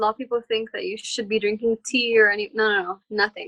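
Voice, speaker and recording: A woman's bright, sharp voice at a fairly high pitch comes through dry and close, with no echo. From Saudi Arabia (Jeddah), Lebanese family. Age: 20s. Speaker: singer-songwriter. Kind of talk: casual interview chat.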